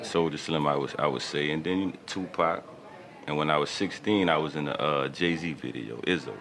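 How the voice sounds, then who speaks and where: Here a man with a New Orleans accent speaks in a very deep, low voice with fairly even intonation. His pace is moderate, and noticeable background noise runs beneath him. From New Orleans, Louisiana. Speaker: rapper. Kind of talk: radio interview.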